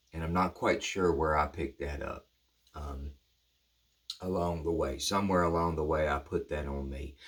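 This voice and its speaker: A man with a Southern US accent speaks at a moderate pace in a very deep, low, somewhat breathy voice, his intonation fairly even and his pauses long and frequent. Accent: US South. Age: 50s. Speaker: recovery speaker. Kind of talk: reflective monologue. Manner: halting; casual.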